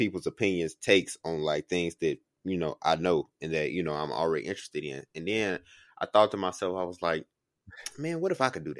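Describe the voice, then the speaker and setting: A man speaks at a very deep, low pitch. The recording is very clean, dry and close, with no echo and a silent background. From Chicago. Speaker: podcast co-host, student. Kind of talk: casual chat.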